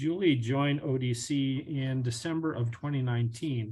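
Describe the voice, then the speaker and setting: Somewhat breathy and dark, mellow in tone, a man speaks with fairly even intonation. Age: 60s. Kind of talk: webinar presentation.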